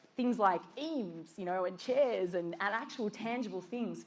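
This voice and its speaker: A woman with an Australian accent speaks at a moderate pace and a medium pitch, with audible room echo. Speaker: design director. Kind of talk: conference talk.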